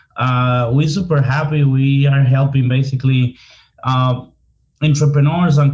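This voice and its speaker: In a Dominican accent, a man speaks fairly slowly at a fairly high pitch, somewhat breathy and with fairly even intonation. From Dominican Republic, Santo Domingo. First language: Spanish. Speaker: marketing consultant. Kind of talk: casual interview.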